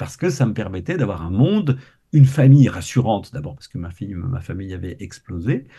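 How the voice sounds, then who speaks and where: A man with a medium pitch and a dark, mellow tone, very wide pitch swings, vocal fry, and a fairly quick pace. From Quebec. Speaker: science communicator. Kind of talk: interview.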